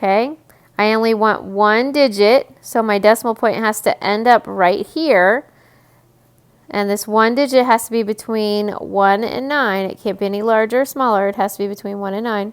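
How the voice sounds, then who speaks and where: Speaking at a moderate pace, a woman has a plain, everyday voice, fairly high in pitch, with fairly even intonation. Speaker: teacher. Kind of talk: recorded math lesson video. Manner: repetitive counting aloud.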